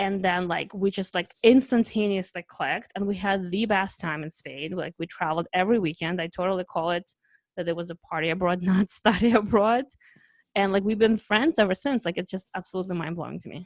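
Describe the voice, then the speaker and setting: A woman's medium-pitched voice with a Russian accent, fairly quick pace and ordinary pitch variation, in a dry, close recording with no echo. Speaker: travel podcast host. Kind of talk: casual chat. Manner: animated.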